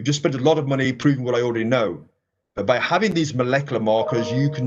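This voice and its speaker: A man with an English accent speaks at a fairly high pitch with ordinary pitch variation. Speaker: professor. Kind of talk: lecture.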